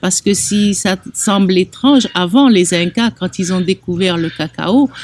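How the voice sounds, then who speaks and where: A plain, everyday voice at a fairly slow pace, with ordinary pitch variation. The sound is dry and close, with no echo. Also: woman, medium pitch for a woman. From Algeria (Oran). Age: 60s. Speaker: chocolate artisan. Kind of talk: interview testimony.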